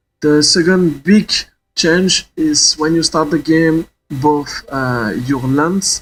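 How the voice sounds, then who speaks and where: Speech comes at a very slow pace with ordinary pitch variation, in a non-native accent. Music plays in the background. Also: man. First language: not English. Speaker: gaming YouTuber. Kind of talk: tutorial. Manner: halting.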